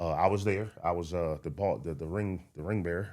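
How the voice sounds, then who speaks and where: Talking at a fairly quick pace, a man with an American accent has a very deep, low pitch and fairly even intonation. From US Mid-Atlantic, Baltimore and Prince George's County. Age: 30s. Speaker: stand-up comedian. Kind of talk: casual interview.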